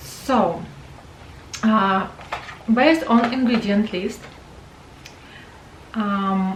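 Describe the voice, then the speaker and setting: A woman with a non-native accent speaks very slowly, her fairly high pitch moving with ordinary variation. Audible room echo and noticeable background noise fill the recording. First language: not English. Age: 40s. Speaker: beauty vlogger. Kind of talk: product review. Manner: halting, many fillers.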